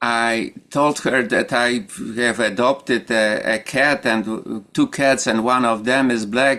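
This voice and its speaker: A man speaks very slowly at a medium pitch with fairly even intonation. His tone is bright and sharp. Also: very clean recording, silent background. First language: Polish. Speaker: meditation group leader. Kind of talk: group discussion. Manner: halting.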